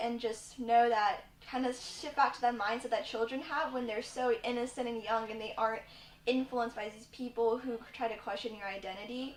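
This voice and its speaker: Her pitch fairly high, a woman talks in a monotone, flat intonation. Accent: Virginia. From Virginia, US (Richmond). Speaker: university student. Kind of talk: personal story.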